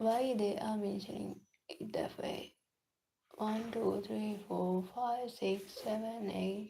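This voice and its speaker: Very slow speech in a non-native accent. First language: not English. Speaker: student livestreamer. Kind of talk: casual study livestream. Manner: halting.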